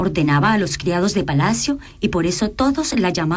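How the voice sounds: The voice is a natural reading voice.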